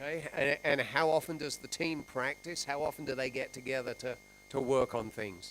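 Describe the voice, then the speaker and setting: Music plays in the background as a man speaks at a moderate pace in an English accent. His pitch is fairly high, with ordinary variation. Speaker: sports interviewer. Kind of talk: post-match interview.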